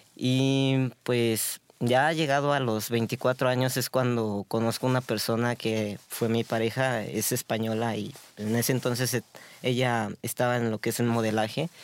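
This speaker delivers words at a fairly slow pace in a monotone, flat intonation, keeping the loudness very even. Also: man, medium pitch for a man. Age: 30s. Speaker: street vendor. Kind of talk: interview.

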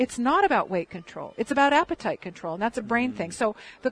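With a plain, everyday voice, a woman talks at a fairly high pitch with lively intonation, the sound dry and close with no echo. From Michigan. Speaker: health educator. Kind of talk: interview.

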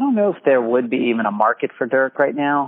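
This man has a plain, everyday voice. He talks at a fairly quick pace with ordinary pitch variation. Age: 40s. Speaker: basketball podcast co-host. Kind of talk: casual chat.

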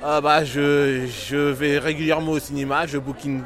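Background noise can be clearly heard. Through it, a man talks. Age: 30s. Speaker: pop culture fan. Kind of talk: street interview. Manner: halting.

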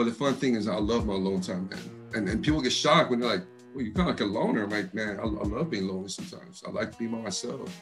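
With music in the background, a man with an East Coast US accent talks very fast in a fairly low voice with lively intonation. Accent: East Coast American, picked up in D.C. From Texas. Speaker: rapper, interview guest. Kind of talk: casual, slangy, says "man" a lot. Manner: fast talker.

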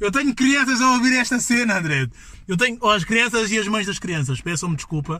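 A man speaks in a raised, projected voice at a high pitch and a fairly quick pace. His tone is animated, his intonation lively, and there is noticeable background noise. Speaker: podcast host. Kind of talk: casual chat.

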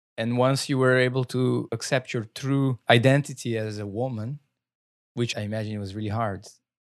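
Fairly even intonation runs through this man's speech at a moderate pace. He has a Brazilian accent. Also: medium pitch for a man. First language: Portuguese. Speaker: podcast host. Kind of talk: interview. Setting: video call.

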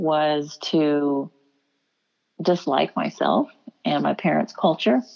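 Here a woman talks at a very slow pace. She speaks with an American accent. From Houston, Texas. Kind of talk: interview.

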